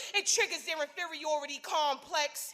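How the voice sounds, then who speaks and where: A woman raises and projects her voice, her tone intense. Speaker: spoken word poet. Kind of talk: spoken word poetry performance. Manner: intense, forceful.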